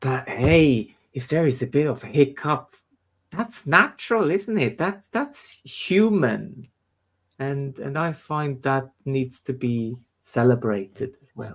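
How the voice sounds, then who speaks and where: A man speaks at a very slow pace in a fairly high pitch, somewhat breathy. His intonation is lively, and his loudness swings widely. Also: very clean recording, silent background. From Switzerland. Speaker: spiritualist medium and teacher. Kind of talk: casual chat. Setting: live stream from a church. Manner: halting, many repetitions.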